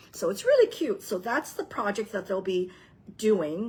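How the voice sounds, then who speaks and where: An animated, somewhat breathy woman's voice. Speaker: papercraft demonstrator. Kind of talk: craft tutorial with announcements. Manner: chatty, animated.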